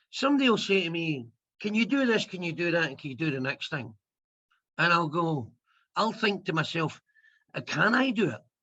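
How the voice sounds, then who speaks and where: A bright, sharp tone in a Scottish accent, with very wide pitch swings, a fairly quick pace, long, frequent pauses and a quiet background. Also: man, high pitch for a man. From Scotland. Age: 50s. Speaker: comedian. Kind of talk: interview.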